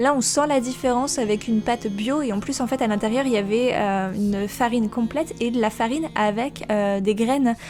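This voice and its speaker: Music plays in the background. A woman speaks with a fairly high pitch. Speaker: food vlogger. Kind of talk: cooking voiceover. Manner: fast; hesitant with many fillers.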